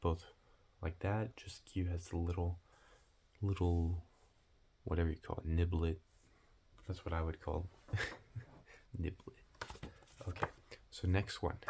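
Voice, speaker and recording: A man speaks in a very deep, low voice with a dark, mellow tone, somewhat breathy and relaxed, at a fairly slow pace with long, frequent pauses and monotone, flat intonation. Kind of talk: ASMR roleplay, casual soft-spoken test administrator. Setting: close-mic ASMR recording. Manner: soft-spoken, whispery, relaxed.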